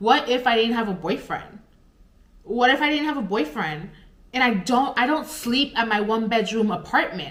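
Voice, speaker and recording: In a room with audible echo and noticeable background noise, a woman speaks at a moderate pace with a fairly high pitch, lively intonation and an animated tone. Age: 20s. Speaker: pet sitter and vlogger. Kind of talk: personal storytime vlog. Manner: halting, stuttering.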